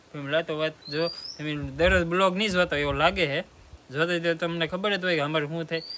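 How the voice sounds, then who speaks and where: Over noticeable background noise, a man speaks in a fairly high voice with fairly even intonation. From Gujarat, Bhavnagar district (Mahuva). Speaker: vlogger and farmer. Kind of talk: casual Q&A vlog.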